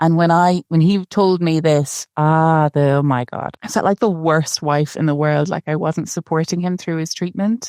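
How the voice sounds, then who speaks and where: With an Irish accent, a woman speaks at a moderate pace with hardly any pauses, her fairly low, dark, mellow voice keeping fairly even intonation in a dry, close sound with no echo against a quiet background. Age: 30s. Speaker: coaching guest, wife. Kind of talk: personal finance coaching conversation.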